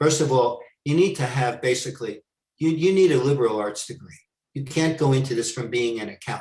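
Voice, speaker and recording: A man's somewhat breathy voice with an American accent, at a medium pitch and fairly quick pace, with ordinary pitch variation. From New York. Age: 70s. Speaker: former money launderer turned consultant. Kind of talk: Q&A talk.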